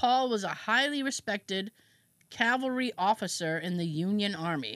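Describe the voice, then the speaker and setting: A woman speaks with a plain, everyday voice. Her intonation is lively. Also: very clean recording, silent background. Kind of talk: true-crime horror narration, reading a historical account aloud. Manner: casual and laughing between read passages.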